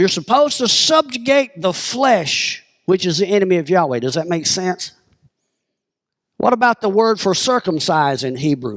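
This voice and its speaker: In a Southern US accent, a man speaks with an animated tone and a high pitch that swings very widely. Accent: southern drawl. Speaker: pastor. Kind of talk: sermon.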